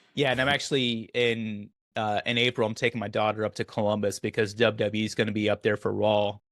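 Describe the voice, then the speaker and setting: A man with an American accent talks very fast, with hardly any pauses. His intonation is monotone and flat. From Oklahoma. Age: 40s. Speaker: podcast host, military veteran. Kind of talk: casual interview chat.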